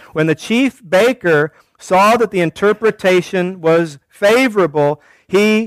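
Here is a natural reading voice over a quiet background.

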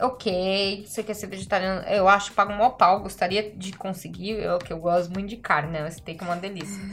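Over noticeable background noise, a woman of medium pitch talks at a moderate pace with fairly even intonation and big swings in loudness. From Brazil. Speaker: podcast co-host and restaurant worker. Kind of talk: casual chat.

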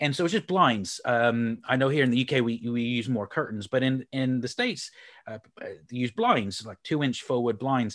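A normal speaking voice with an American accent moves at a moderate pace over a quiet background. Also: man, medium pitch for a man, ordinary pitch variation. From Houston, Texas. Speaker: sales speaker and coach. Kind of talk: casual interview chat.

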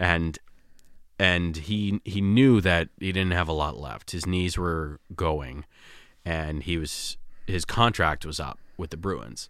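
Very deep and low, a man's voice in a Boston accent moves at a very slow pace with ordinary pitch variation, captured on a very clean recording with a silent background. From Malden, Massachusetts. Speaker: sports fan. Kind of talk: casual chat. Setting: studio.

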